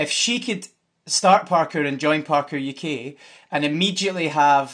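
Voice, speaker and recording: Against a quiet background, a man with a Glasgow accent speaks at a fairly high pitch. His pace is moderate and his pitch varies in an ordinary way. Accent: Scottish (Glasgow). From Scotland. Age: 30s. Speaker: parkour coach and development manager. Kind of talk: casual interview.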